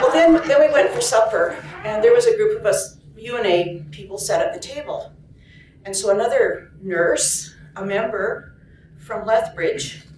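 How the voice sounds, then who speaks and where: A woman at a fairly slow pace with big swings in loudness, audible room echo and noticeable background noise. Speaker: nurse and union activist. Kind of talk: storytelling. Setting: conference story circle with audience. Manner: soft-spoken; halting.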